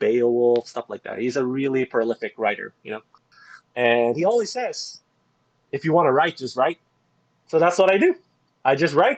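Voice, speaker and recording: In a dry, close sound with no echo, a man with a non-native accent and fairly high pitch speaks at a moderate pace with lively intonation and long, frequent pauses. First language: not English. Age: 30s. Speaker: dialysis nurse and game guide writer. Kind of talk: casual interview.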